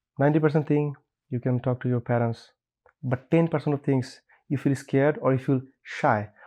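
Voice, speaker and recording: Pausing long and often, a man with a fairly high voice and a dark, mellow tone speaks at a fairly quick pace with fairly even intonation. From Bangladesh. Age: 20s. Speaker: chef. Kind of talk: interview.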